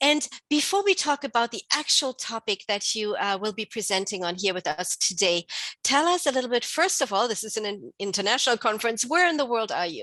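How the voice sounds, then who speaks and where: A woman's fairly high voice has a bright, sharp tone and very wide pitch swings. She goes at a fairly quick pace, in a dry, close sound with no echo. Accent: non-native. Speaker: conference host, midwife. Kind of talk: interview.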